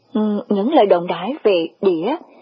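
Lively intonation in a natural voice reading aloud

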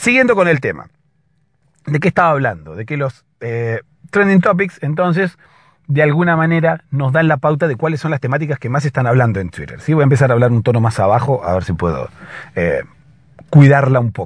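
A man speaks at medium pitch and a fairly quick pace, his voice making big pitch swings.

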